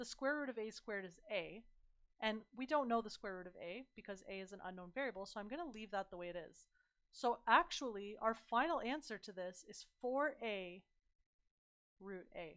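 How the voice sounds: A woman talks at a moderate pace with a fairly bright tone and medium pitch. Her intonation is lively.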